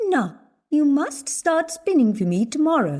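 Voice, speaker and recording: A woman puts on a character voice. It sits high in pitch and swings very widely. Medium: read story.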